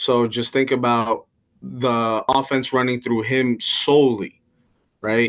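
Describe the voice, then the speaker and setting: At a very slow pace, a man speaks in a medium-pitched voice with monotone, flat intonation. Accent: Washington. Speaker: fantasy sports podcast co-host. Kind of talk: casual sports chat.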